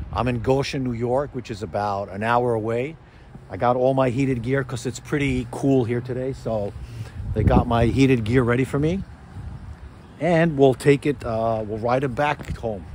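Moderate pace and ordinary pitch variation, with light background noise and a dry sound with no echo. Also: man. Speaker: motorcycle vlogger. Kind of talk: casual vlog chat. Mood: enthusiastic, nostalgic. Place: street. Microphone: phone near.

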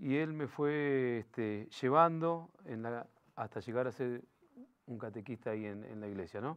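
Fairly slow speech from a man against a quiet background. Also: ordinary pitch variation. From Greater Buenos Aires, Argentina (Los Polvorines); Buenos Aires, Argentina. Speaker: local political candidate; candidate. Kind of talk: interview. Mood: calm, reflective storytelling. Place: studio. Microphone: lapel.

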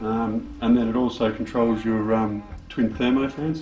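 A man talks at a very slow pace with ordinary pitch variation. Clear music plays behind him, and the room echo is audible. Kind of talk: casual vlog chat. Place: garage.

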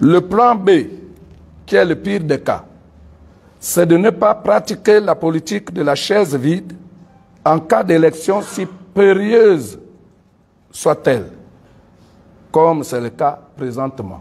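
At a very slow pace and with long, frequent pauses, a man speaks in a high pitch. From Gabon. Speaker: civil society leader and pastor; civil society spokesman. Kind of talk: press conference statement. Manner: formal. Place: meeting room.

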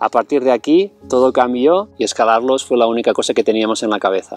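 A man at a moderate pace, with a dry, echo-free sound and faint music in the background. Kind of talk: travel documentary narration to camera. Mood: calm, friendly. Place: open country.

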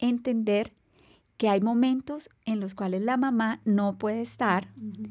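Against a quiet background, a woman with a fairly high voice speaks very slowly in fairly even intonation. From Colombia. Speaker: navy rear admiral; podcast guest. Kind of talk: interview. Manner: formal. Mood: warm, composed, reflective. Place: studio. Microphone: studio mic.

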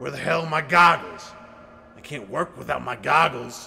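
With a fairly high pitch, this man talks at a moderate pace. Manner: grumpy, mumbling.

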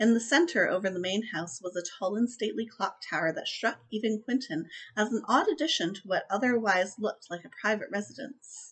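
Against a quiet background, a woman with a fairly high pitch speaks in an enthusiastic tone at a fairly quick pace with hardly any pauses. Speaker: book reviewer vlogger. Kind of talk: audiobook-style reading aloud of novel passages, in a steady narrator's cadence; casual book review to camera. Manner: measured, descriptive narration with even pacing, a storyteller's tone; chatty, enthusiastic, with filler words and laughs. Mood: calm storytelling tone. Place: home room. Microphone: webcam.

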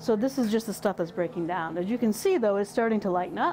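A woman with an American accent speaks with ordinary pitch variation over light background noise. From western Michigan. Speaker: extension educator in soil health; extension educator. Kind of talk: tutorial. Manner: halting, with repeated words and fillers. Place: workshop. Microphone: lapel.

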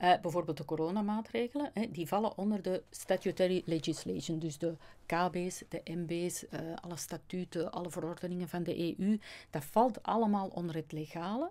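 A woman speaks at a moderate pace with a fairly low pitch, ordinary pitch variation, and a dark, mellow tone. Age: 50s. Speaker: customs agent and natural law speaker; speaker. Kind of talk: interview. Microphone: studio mic.

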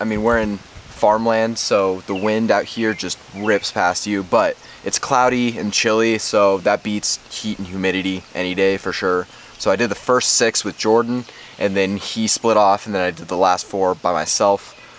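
In an ordinary speaking voice, a man talks at a moderate pace with a fairly low pitch and fairly even intonation, the sound dry with no echo and light background noise. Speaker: running vlogger. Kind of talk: casual vlog chat. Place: garden. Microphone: phone near.

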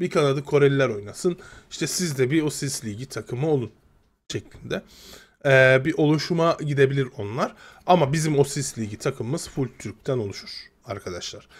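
This man's voice sits fairly high in pitch and is somewhat breathy. His pitch variation is ordinary. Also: moderate pace. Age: 30s. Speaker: gaming youtuber; gaming streamer. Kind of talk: casual video commentary. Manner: halting, many fillers.

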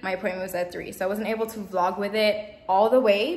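Audible room echo hangs on the speech. A woman talks fairly quickly. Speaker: hair vlogger. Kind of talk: casual vlog chat. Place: home room. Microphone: phone near.

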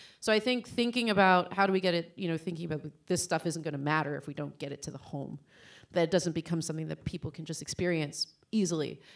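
Against a quiet background, a woman with an American accent talks at a very fast pace with ordinary pitch variation. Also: fairly low pitch for a woman. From Pennsylvania, York; Pennsylvania. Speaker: immersive media producer; panelist. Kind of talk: panel discussion. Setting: stage with audience. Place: stage. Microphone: handheld.

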